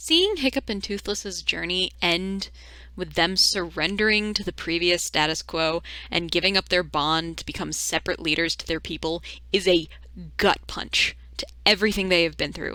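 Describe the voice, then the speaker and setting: Delivered at a moderate pace in an animated tone, the speech comes through a very clean recording with a silent background. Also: woman. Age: 20s. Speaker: video essayist. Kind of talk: video essay commentary.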